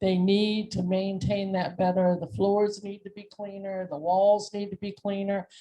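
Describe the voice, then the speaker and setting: A woman speaks at a medium pitch in a monotone, flat intonation, at a fairly slow pace with hardly any pauses. Her loudness swings widely. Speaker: community resident. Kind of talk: public comment at meeting. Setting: community meeting room with microphone.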